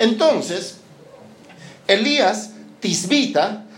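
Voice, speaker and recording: A man's high-pitched voice rises and falls with lively intonation. Audible room echo and music in the background surround him. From Peru. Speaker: missionary pastor. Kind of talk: sermon. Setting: church service with congregation.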